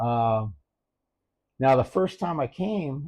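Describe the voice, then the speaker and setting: A man with a medium pitch speaks in a somewhat breathy, dark and mellow voice, his pitch swinging very widely over a quiet background. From US. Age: 70s. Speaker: retiree and expat. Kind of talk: casual interview.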